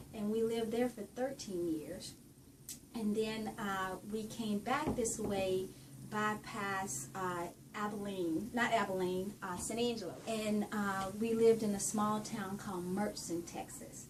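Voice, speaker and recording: The speaker has a Southern US accent, a fairly slow pace and ordinary pitch variation. Audible room echo and noticeable background noise come through. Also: woman, medium pitch for a woman. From Louisiana, Ruston. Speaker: university administrator. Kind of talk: interview.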